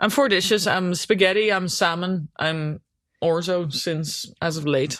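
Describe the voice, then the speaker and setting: A woman with a Dutch accent and a fairly low pitch talks at a fairly slow pace. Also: ordinary pitch variation. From Netherlands. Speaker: hockey goalkeeper. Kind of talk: casual chat. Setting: on a sofa at home.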